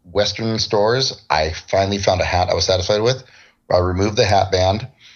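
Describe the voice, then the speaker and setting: A somewhat breathy man with an American accent and fairly even intonation. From US West Coast, San Diego. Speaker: cosplayer. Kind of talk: casual interview chat.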